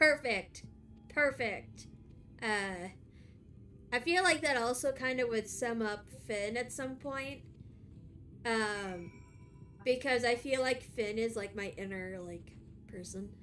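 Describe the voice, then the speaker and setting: Over music in the background, the speaker goes at a very slow pace with long, frequent pauses and lively intonation. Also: woman, fairly high pitch for a woman. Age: 30s. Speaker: vtuber streamer. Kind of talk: casual chat.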